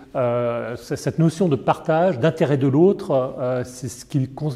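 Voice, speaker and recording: Medium in pitch with ordinary pitch variation, a man's voice comes across somewhat breathy with a dark, mellow tone. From Paris, France. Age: 60s. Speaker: foundation director, former advertising executive. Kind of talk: interview testimony. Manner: hesitant, many fillers and repetitions.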